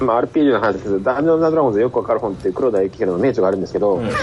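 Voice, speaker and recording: The voice has lively intonation over noticeable background noise. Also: man. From Hokkaido, Japan. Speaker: reading group participant. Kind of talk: casual discussion.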